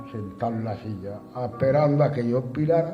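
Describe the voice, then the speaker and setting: Music plays in the background. The speaker has an Andalusian accent. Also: man. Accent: Andalusian (Alpujarra). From Andalusia, Spain. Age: 70s. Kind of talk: personal testimony.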